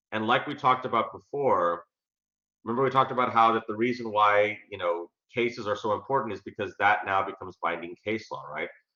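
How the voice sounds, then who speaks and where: Pitch varies in an ordinary way as the talking moves fairly quickly. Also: man, medium pitch for a man. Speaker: college government instructor. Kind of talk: lecture. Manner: fast; halting, many fillers.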